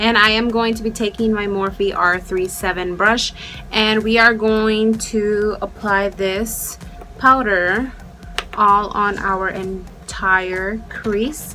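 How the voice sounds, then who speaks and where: A woman with a slight Mexican accent speaks very slowly at a medium pitch in a monotone, flat delivery, with noticeable background noise and audible room echo. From Mexico, raised in US from age five. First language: Spanish. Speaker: beauty youtuber. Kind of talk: makeup tutorial; casual chat. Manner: casual, chatty.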